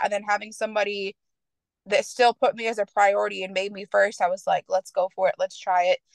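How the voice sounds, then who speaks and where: Hers is a normal speaking voice with an American accent, at medium pitch and a fairly quick pace. The woman is recorded in dry, close sound with no echo. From Michigan. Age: 20s. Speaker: podcast guest discussing swinger lifestyle. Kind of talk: casual interview.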